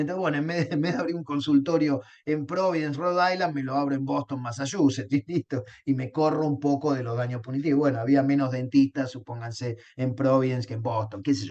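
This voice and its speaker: A man's fairly high voice moves at a fairly quick pace, with pitch varying in an ordinary way. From Argentina, Río de la Plata. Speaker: law lecturer. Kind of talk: lecture. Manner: halting, many fillers and repetitions.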